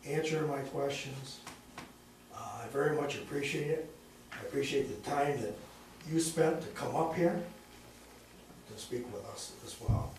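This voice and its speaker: A man's fairly high voice at a moderate pace, with fairly even intonation, big swings in loudness, long and frequent pauses, audible room echo and noticeable background noise. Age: 60s. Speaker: constituent at town hall. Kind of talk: town hall question. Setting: town hall meeting.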